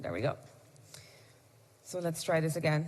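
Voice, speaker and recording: There is vocal fry in this woman's voice. Her pitch is very deep and low. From Morocco / US (half Moroccan, half American). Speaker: conference presenter. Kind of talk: presentation / tutorial. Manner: conversational, some hesitations.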